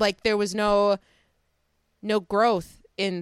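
The speaker has an American accent. The sound is dry and close, with no echo. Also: woman. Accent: Chicago accent, noticeable with locals. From Chicago, US Midwest. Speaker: podcast host. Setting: recording while visiting family, baby nearby.

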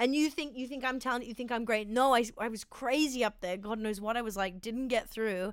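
A woman with an Australian accent speaks at a fairly quick pace. Her pitch is fairly high. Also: ordinary pitch variation. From Sydney, Australia. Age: 20s. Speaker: comedian. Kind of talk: casual chat.

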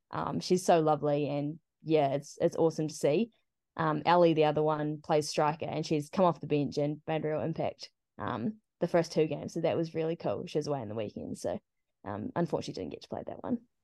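A woman with a New Zealand accent speaks at a fairly quick pace in a very deep, low pitch and a dark, mellow tone, with a dry, close sound with no echo against a quiet background. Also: lively intonation. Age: 20s. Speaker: football team captain. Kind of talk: interview.

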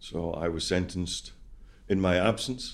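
The speaker is a man. He has a Scottish accent. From Scotland. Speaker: ex-prisoner and prison reform campaigner. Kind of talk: interview. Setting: studio.

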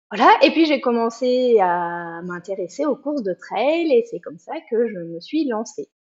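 With very wide pitch swings and big swings in loudness, a woman at a fairly high pitch speaks at a fairly slow pace with hardly any pauses. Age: 40s. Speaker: trail runner. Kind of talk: interview.

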